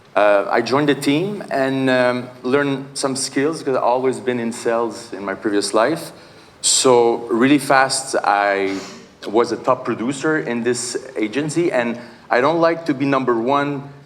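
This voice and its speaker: Amid audible room echo and noticeable background noise, a man with a Quebec accent talks at a medium pitch and a fairly slow pace with ordinary pitch variation. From Quebec, Canada. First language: Portuguese. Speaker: real estate agent and investor. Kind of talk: conference panel introduction. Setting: stage with audience. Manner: halting, many fillers.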